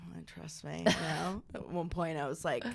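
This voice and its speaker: A woman with an American accent and vocal fry talks at a fairly quick pace. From Maine, US. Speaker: comedian and content creator. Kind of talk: casual chat.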